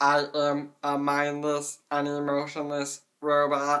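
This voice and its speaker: The speaker puts on a character voice with a low-to-middle pitch, a fairly slow pace and monotone, flat intonation. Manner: emotionless.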